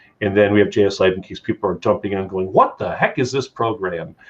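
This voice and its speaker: Talking at a fairly quick pace, a man speaks in a Chicago accent. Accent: Chicago American. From Chicago area, US Midwest. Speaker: talk show host. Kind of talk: casual talk show interview. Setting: live stream.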